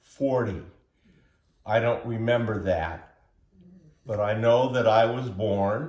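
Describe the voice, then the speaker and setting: With a West Coast accent, a man speaks at medium pitch in a somewhat breathy voice with fairly even intonation. Audible room echo surrounds him. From US Pacific Northwest, Portland, Oregon. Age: 70s. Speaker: interviewee telling his life story. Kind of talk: oral history interview.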